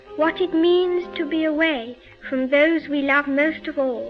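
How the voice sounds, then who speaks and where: A woman talks at a fairly slow pace in an extremely high voice. Music plays in the background. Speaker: princess giving a wartime radio broadcast. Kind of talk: formal radio address.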